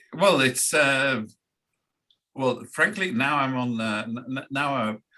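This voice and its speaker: The tone is bright and sharp, the pace very slow, and the pitch varies in an ordinary way. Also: man, medium pitch for a man. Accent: Scouse. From Liverpool, England. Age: 60s. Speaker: foreign affairs commentator. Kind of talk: casual interview. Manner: halting.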